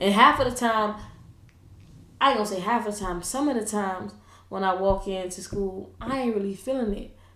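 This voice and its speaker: Audible room echo surrounds a woman speaking at a medium pitch with long, frequent pauses. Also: ordinary pitch variation, fairly quick pace. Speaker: school coach and podcast co-host. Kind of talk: casual chat. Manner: loud.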